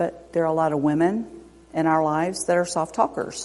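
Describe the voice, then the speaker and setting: In a room with audible echo, a woman with a fairly low, dark, mellow voice speaks at a moderate pace. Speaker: audiologist. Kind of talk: lecture. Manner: loud.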